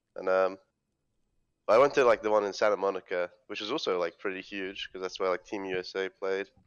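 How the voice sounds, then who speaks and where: A man with a British accent talks at a fairly quick pace. His pitch is fairly low and varies in an ordinary way. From London, UK. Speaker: esports player. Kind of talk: casual interview. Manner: hesitant, many fillers.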